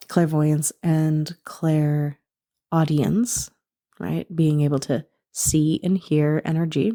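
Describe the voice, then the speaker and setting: Very deep and low in pitch, a woman's voice moves at a very slow pace. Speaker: spiritual coach and podcast host. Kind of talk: spiritual podcast talk.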